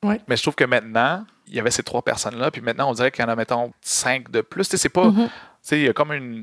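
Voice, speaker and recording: A very fast delivery in a dry, close sound with no echo. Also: man, medium pitch for a man. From Quebec, Montreal. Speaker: activist and content creator, former drama teacher. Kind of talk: casual interview.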